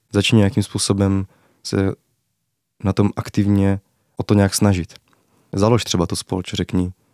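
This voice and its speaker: The recording is very clean, with a silent background and a dry, close sound with no echo. A man talks at a fairly slow pace, his fairly low pitch carrying a dark, mellow tone. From Moravia, Czech Republic (Zábřeh). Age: 20s. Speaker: university student. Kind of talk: interview.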